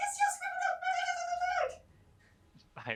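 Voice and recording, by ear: An extremely high pitch defines this put-on character voice.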